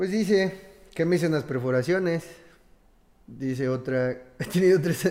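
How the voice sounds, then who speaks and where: With long, frequent pauses, a man speaks at a moderate pace in a dark, mellow tone, his high pitch showing ordinary variation. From Mexico. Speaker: podcast co-host. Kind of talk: casual chat.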